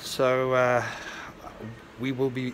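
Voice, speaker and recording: With clear background noise behind him, a man's voice sits at a medium pitch. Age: 60s. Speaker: vlogger. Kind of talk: casual vlog narration.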